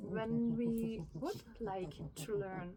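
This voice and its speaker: With a German accent, a woman speaks at a very slow pace amid audible room echo. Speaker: spiritual vlogger. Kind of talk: personal reflection monologue. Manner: halting, many fillers.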